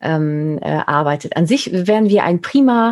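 Using a normal speaking voice, a woman talks fairly slowly at a fairly low pitch with ordinary pitch variation. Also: very clean recording, silent background. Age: 40s. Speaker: podcast host and image consultant. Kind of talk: casual interview chat.

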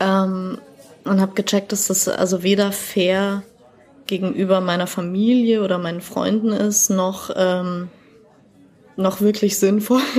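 With music playing behind it, the voice moves at a very slow pace in a flat monotone, broken by long, frequent pauses. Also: woman, medium pitch for a woman. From Bavaria, Germany. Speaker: poetry slammer. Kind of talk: podcast interview. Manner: talkative.

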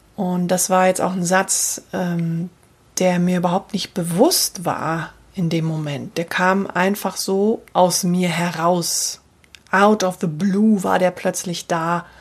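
Over noticeable background noise, a woman speaks very slowly in a monotone, flat intonation at a fairly low pitch. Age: 40s. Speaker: voice and communication coach. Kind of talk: solo podcast monologue. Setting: home office.

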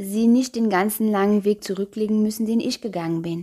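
The recording is very clean and the background silent. Her voice sits at a medium pitch for a woman. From Luxembourg. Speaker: podcast host and educator. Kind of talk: solo podcast monologue.

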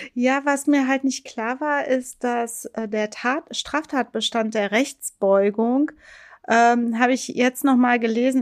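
On a very clean recording with a silent background and a dry, close sound with no echo, a woman speaks very slowly at a high pitch with fairly even intonation. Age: 40s. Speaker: lawyer and podcast co-host. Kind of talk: casual legal discussion podcast.

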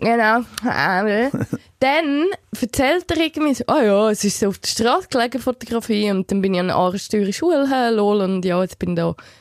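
Lively intonation and an animated tone come through at a moderate pace, in a dry, close sound with no echo. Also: woman, fairly high pitch for a woman. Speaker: podcast co-host. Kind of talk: casual chat.

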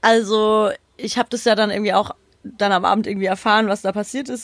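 A woman talks fairly quickly in a fairly high voice, her intonation monotone and flat. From Odenwald, southern Hesse. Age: 20s. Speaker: football podcast co-host and journalist. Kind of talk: casual chat.

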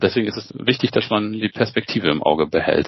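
With lively intonation, a man rattles off his words at a very fast pace. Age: 40s. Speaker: emergency physician. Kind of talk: interview.

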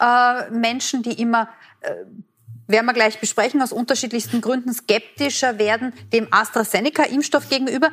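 A woman with a high pitch talks at a moderate pace with fairly even intonation. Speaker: TV host, moderator. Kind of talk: moderating a TV forum.

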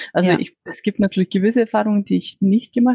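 Very fast speech comes from a woman of medium pitch with a dark, mellow tone and ordinary pitch variation. Her somewhat breathy voice sounds dry and close, with no echo. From Iceland. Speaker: corporate business strategy manager. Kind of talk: interview. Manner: halting, with fillers and repetitions.

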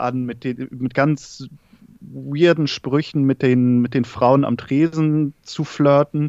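A man speaks very slowly at medium pitch, his intonation monotone and flat. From northern Germany, Schleswig-Holstein. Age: 30s. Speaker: film content creator. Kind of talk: casual chat. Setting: remote call from living room.

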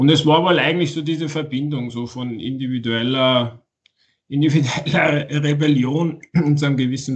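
A man speaks at a moderate pace in a medium pitch. His pitch variation is ordinary. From Austria, Tyrol. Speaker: author. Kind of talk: interview. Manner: halting.

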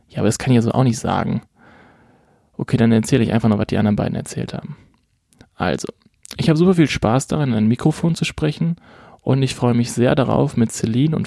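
A man with a dark, mellow tone and a medium pitch talks at a very fast pace with lively intonation. Long, frequent pauses break up his speech, and the sound is dry and close with no echo. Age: 20s. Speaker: podcast co-host. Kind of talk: scripted self-introduction.

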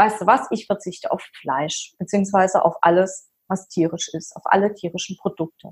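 A woman talks in a somewhat breathy voice. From Palatinate, Germany. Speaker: fitness coach. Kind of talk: personal story interview. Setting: video call. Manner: animated.

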